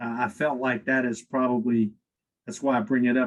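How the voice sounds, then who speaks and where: At a moderate pace, a man talks in a normal speaking voice at a medium pitch. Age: 60s. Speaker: company executive, podcast guest. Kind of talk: interview conversation.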